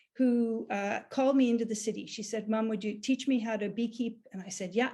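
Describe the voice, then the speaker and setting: With a fairly high pitch and fairly even intonation, a woman speaks at a fairly quick pace in a somewhat breathy voice. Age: 60s. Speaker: beekeeper. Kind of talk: conference presentation.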